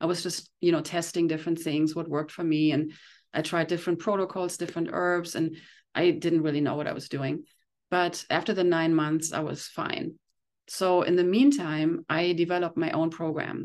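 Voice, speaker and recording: A woman talks at a moderate pace against a quiet background. Her pitch is fairly low and her intonation fairly even. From Germany. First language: German. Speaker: detox specialist and iridologist. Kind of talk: interview. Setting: remote call.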